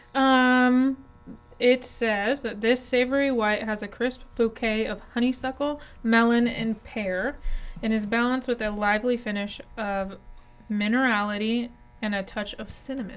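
Over music in the background, a woman speaks at a fairly high pitch with fairly even intonation. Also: fairly slow pace. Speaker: podcast co-host. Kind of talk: casual chat over wine.

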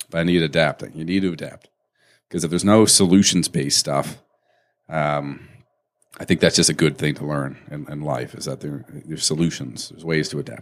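A man talks at a fairly quick pace with a very deep, low pitch and vocal fry. His pitch varies in an ordinary way. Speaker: podcast co-host; company owner, mortgage business. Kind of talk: casual banter over beers.

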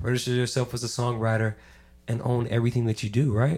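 The voice of a man with a medium pitch comes across as somewhat breathy. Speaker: podcast guest. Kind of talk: casual chat.

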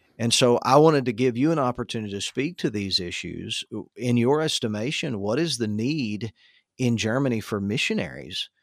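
At a moderate pace, a man talks in a medium pitch with ordinary pitch variation and a normal speaking voice. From Tennessee, US South. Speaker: podcast host and assistant pastor. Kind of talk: interview conversation.

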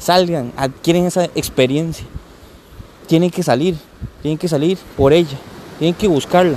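A man's fairly high-pitched voice at a moderate pace, with fairly even intonation, long and frequent pauses, and noticeable background noise. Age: 30s. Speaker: podcaster. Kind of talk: casual monologue. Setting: outdoors on a beach. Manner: halting.

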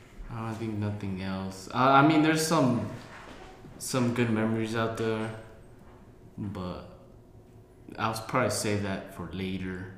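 A man with an American accent talks at a fairly slow pace and medium pitch, with ordinary pitch variation, long, frequent pauses, and noticeable background noise. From Colorado, US. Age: 20s. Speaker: podcast co-host. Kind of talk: casual chat. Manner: halting.

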